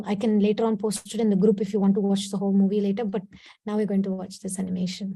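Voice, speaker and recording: Speaking in a Kannada accent, a woman talks at a very fast pace and medium pitch. Her somewhat breathy voice has a dark, mellow tone and monotone, flat intonation. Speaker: spiritual teacher. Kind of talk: devotional talk / storytelling.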